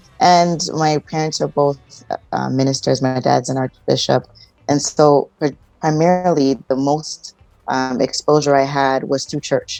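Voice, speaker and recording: With music in the background, a woman with a Canadian accent speaks fairly slowly at a very deep, low pitch, her intonation fairly even. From Toronto, Canada. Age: 40s. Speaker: relationship counsellor. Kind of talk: interview.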